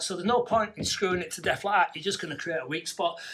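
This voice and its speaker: A man talks with a Yorkshire accent and ordinary pitch variation. Noticeable background noise is present. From Yorkshire, northern England. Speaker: garden room builder. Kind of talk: tutorial. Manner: fast, barely pausing for breath.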